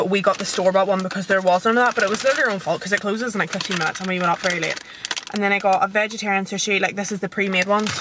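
A woman talks at a very fast pace with fairly even intonation. The sound is dry with no echo, though background noise is noticeable. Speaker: vlogger. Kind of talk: casual vlog chat. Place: car. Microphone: phone near.

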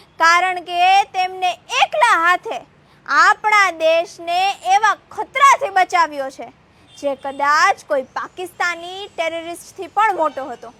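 In a dry, close recording with no echo, a woman with an extremely high pitch projects a raised voice, her intonation lively and her loudness swinging widely. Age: young. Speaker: activist. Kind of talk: political speech. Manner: impassioned.

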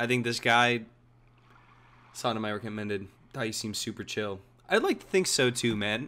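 This man's bright, sharp voice sounds animated, moving at a moderate pace with ordinary pitch variation and long, frequent pauses. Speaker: streamer. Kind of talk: casual live gameplay commentary. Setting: livestream, gaming at home. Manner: animated, casual, profanity-laced. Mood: relaxed, friendly. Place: home room.

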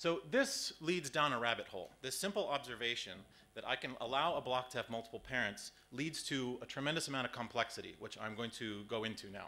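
Bright and sharp in tone, a man's voice moves at a fairly quick pace. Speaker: conference presenter. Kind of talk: lecture. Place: hall.

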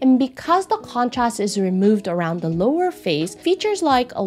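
Her pitch swings very widely as a woman speaks at a moderate pace. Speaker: face analysis creator. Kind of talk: explanatory vlog commentary. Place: home room.

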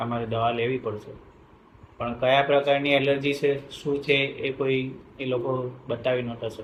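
The man's medium-pitched voice stays in a monotone, flat intonation throughout. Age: 50s. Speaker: patient. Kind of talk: testimony.

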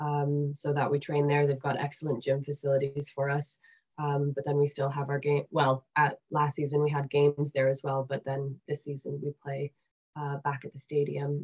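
Speaking with a Canadian accent, a woman uses a very deep, low pitch, a somewhat breathy quality and monotone, flat intonation. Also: moderate pace, quiet background. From Canada. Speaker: women's rugby player. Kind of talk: interview. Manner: hesitant, many fillers. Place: home room. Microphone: webcam.

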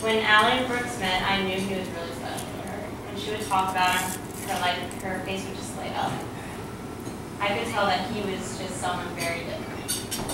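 A woman at a fairly quick pace, amid loud background noise and audible room echo. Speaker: wedding guest giving toast. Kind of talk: wedding toast, heartfelt and personal. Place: hall. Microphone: camera far.

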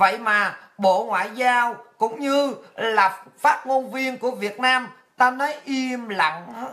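The background is quiet. A woman speaks very slowly with high pitch and ordinary pitch variation. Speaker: political commentary show host. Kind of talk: political monologue. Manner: animated. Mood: indignant, scolding. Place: home room.

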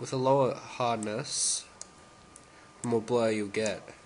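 A man talks with fairly even intonation while noticeable noise carries on behind him. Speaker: tutorial maker. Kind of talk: software tutorial narration. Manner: casual, hesitant.

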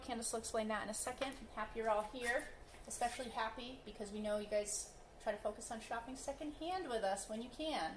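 Recorded with audible room echo and light background noise, a woman speaks at a fairly quick pace with ordinary pitch variation. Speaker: thrift auction host for animal-rescue fundraiser. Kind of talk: casual auction item presentation. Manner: upbeat, chatty, joking with viewers. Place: shop. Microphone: camera far.

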